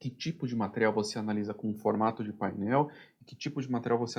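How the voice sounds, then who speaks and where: The quiet background lets a man's medium-pitched voice, with ordinary pitch variation, come through. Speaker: production planning instructor. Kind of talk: tutorial. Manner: fast.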